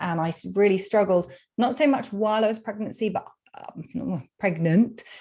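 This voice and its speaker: Over a quiet background, a woman with a British accent speaks at medium pitch and a fairly slow pace with lively intonation. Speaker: psychologist and food freedom coach. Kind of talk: podcast interview.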